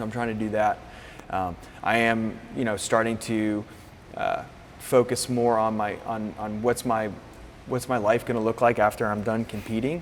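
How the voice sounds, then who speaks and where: Against noticeable background noise, a man in an American accent speaks with monotone, flat intonation and long, frequent pauses. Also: medium pitch for a man, moderate pace. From Florida, US. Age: 30s. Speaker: fitness coach. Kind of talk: interview. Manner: halting.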